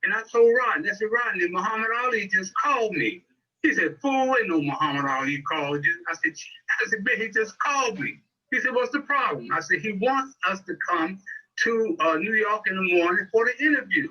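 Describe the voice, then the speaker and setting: A man talks in a raised, projected voice at a fairly quick pace. His pitch is high, his tone bright and sharp, and his pitch swings very widely. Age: 80s+. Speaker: sports talk show host and journalist. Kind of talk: casual storytelling. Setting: video call. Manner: animated.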